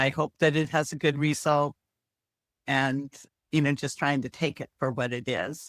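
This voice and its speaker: A woman's very deep, low voice in an American accent, monotone and flat at a moderate pace with long, frequent pauses, on a very clean recording with a silent background and a dry, close sound with no echo. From US, timber town. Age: 60s. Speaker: retired researcher and aunt. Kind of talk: casual chat.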